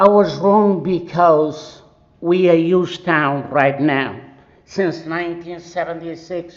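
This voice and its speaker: Someone with a non-native accent speaks at a very slow pace, with audible room echo. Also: man. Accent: foreign. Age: 70s. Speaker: resident speaking at public comment. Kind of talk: public comment at council meeting. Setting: city council meeting. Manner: impassioned.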